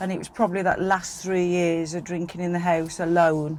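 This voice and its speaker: With a West Midlands accent, a woman speaks at a fairly low pitch in a monotone, flat intonation. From West Midlands, England (Staffordshire border). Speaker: podcast guest, sober community organiser. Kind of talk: interview about personal sobriety journey. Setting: in a van.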